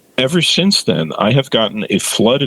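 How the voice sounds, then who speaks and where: A man is heard with a dry, close sound and no echo. Noticeable background noise runs under his voice. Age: 60s. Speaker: OCD therapist. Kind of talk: interview.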